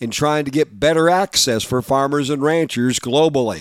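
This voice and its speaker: An unremarkable speaking voice from a man, fairly high in pitch with ordinary variation, comes at a moderate pace. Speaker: farm news radio host. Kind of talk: news reading.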